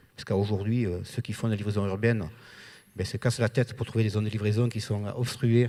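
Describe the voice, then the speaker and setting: A man with a dark, mellow tone speaks very fast in a flat monotone, in a very clean recording with a silent background. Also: fairly low pitch for a man. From southern France. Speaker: trucking company owner. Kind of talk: panel discussion.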